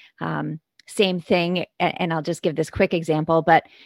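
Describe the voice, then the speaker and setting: A very deep, low-pitched woman's voice with vocal fry and monotone, flat intonation, dry and close with no echo, on a very clean recording with a silent background. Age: 40s. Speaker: keynote speaker and author. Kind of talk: casual chat.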